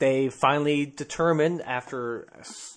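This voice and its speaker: Over a quiet background, a man with fairly high pitch talks in an ordinary speaking voice with ordinary pitch variation. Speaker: podcast co-host. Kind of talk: casual chat, comedic banter.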